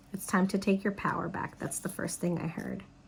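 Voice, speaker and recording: This woman has an ordinary speaking voice, medium in pitch, with fairly even intonation. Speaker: psychic tarot reader. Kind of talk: tarot reading.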